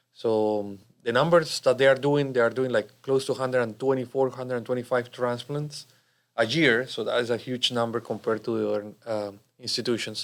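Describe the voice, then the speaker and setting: A man speaks in a Spanish accent at a fairly quick pace. His medium-pitched voice keeps fairly even intonation. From Colombia. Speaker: cardiologist. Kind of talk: interview.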